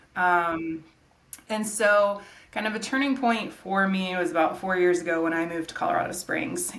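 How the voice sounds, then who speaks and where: A woman with an American accent speaks at a medium pitch and a moderate pace. Her pitch varies in an ordinary way, and an audible room echo surrounds her. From Georgia, US South. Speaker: nonprofit executive director and landscape designer. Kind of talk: interview conversation. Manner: casual, many filler words.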